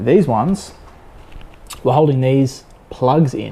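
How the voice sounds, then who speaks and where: Speaking in an Australian accent, a man has medium pitch and ordinary pitch variation. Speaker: car enthusiast youtuber. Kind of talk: tutorial. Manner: halting; casual.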